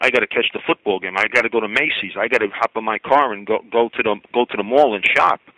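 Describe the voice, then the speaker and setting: Recorded dry and close with no echo, a man talks at a fairly quick pace. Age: 60s. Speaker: caller. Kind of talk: call-in radio talk. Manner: animated, emphatic; halting, repeats words.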